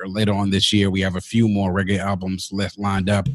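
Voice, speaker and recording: With an American accent, a man speaks at a fairly quick pace. His fairly low voice has monotone, flat intonation. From Washington DC area, US (Grenadian parents). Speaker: music review podcast host. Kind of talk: casual interview chat.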